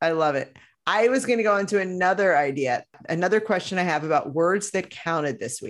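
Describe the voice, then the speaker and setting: A woman with an American accent talks at a fairly quick pace with lively intonation in a medium pitch. Hers is an unremarkable speaking voice over a quiet background. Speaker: podcast host. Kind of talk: casual chat.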